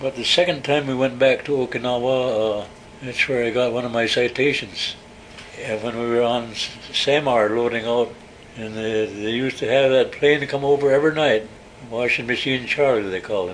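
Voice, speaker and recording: Amid noticeable background noise, a man with an American accent talks at a moderate pace with a medium pitch and fairly even intonation. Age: 80s+. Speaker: war veteran. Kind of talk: oral history interview. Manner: halting.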